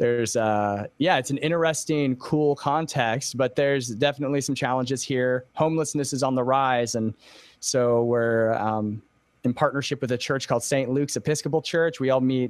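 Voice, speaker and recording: A man speaks at a moderate pace with very even loudness and fairly even intonation. The background is quiet and the sound is dry with no echo. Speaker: pastor, podcaster, interview guest. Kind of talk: interview answer. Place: home room. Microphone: studio mic.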